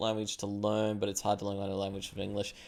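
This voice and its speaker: The recording is very clean, with a silent background. A man speaks with an Australian accent. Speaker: streamer. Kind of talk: casual chat. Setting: live stream.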